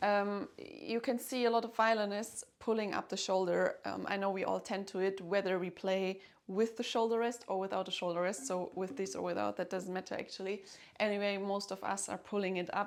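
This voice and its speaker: A woman with a German accent talks at a fairly quick pace with fairly even intonation. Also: medium pitch for a woman. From Germany. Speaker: violinist and music teacher. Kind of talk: tutorial. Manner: hesitant, with fillers.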